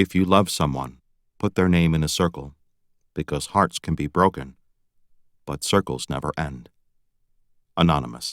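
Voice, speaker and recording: Very deep, low male voice with vocal fry, ordinary pitch variation and long, frequent pauses, on a very clean recording with a silent background and a dry, close sound with no echo. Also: moderate pace. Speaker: audiobook narrator. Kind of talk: audiobook narration.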